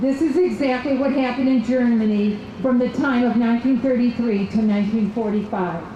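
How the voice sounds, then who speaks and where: A woman with an American accent speaks at a fairly quick pace with hardly any pauses, her high pitch showing ordinary variation and her loudness very even, amid noticeable background noise and audible room echo. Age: 60s. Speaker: political activist. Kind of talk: rally speech. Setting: outdoor rally.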